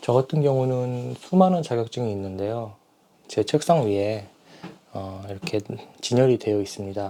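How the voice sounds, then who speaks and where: Dark and mellow in tone, a man talks at a medium pitch and moderate pace with long, frequent pauses. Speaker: stuttering practice speaker. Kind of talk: casual talk to camera. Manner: hesitant, with filler sounds.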